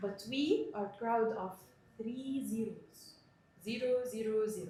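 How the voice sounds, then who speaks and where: With audible room echo, a woman speaks very slowly in a fairly high pitch, her tone dark and mellow, somewhat breathy, with ordinary pitch variation. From Middle East (Palestinian Egyptian). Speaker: sales trainer. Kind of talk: training presentation.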